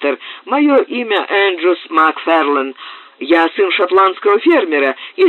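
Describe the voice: This is plain reading aloud. The words are read through as written.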